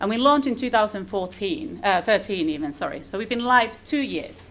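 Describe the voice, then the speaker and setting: Fairly quick and with lively intonation, a woman with a Finnish accent speaks at a fairly high pitch. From Finland. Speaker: conference speaker. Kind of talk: conference presentation. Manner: fast.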